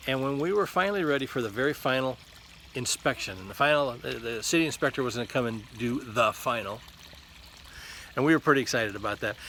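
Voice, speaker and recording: A man rattles along at a very fast pace, with noticeable background noise behind him. He sits at a medium pitch, and his pitch varies in an ordinary way. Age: 60s. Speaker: lay preacher giving devotionals. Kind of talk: devotional talk. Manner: halting, with repeated words and fillers.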